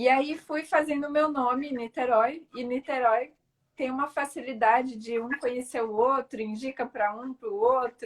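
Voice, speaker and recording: Fairly even intonation at a fairly slow pace. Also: woman, high pitch for a woman. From Brazil, São Paulo. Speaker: physiotherapist, Pilates studio owner. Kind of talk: casual interview on live stream. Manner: hesitant, many fillers.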